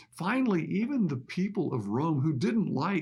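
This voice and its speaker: Very wide pitch swings mark a man's somewhat breathy voice, delivered at a fairly slow pace. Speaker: pastor. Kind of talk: sermon.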